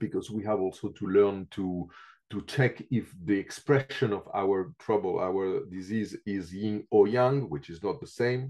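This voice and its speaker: A man's dark, mellow tone at a fairly slow pace, with ordinary pitch variation and a quiet background. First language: not English. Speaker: reflexology teacher. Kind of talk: interview. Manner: halting with many fillers.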